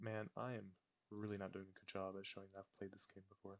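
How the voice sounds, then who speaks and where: Soft-spoken and monotone, a man with a fairly low pitch talks at a very fast pace in flat intonation. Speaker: gaming video creator. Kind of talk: gameplay commentary. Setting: home recording. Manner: quiet, talking softly; audible heavy breathing.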